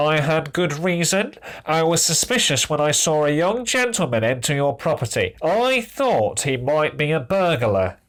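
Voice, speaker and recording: Putting on a character voice, a man with a fairly high, nasal pitch talks at a moderate pace, his pitch swinging very widely with hardly any pauses. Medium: read story. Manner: barking, officious.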